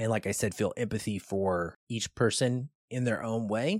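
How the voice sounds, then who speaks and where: A man talks in an ordinary speaking voice at a medium pitch, fairly slowly and with ordinary pitch variation. The recording is very clean with a silent background, and the sound is dry and close with no echo. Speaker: film review podcast host. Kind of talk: film review chat.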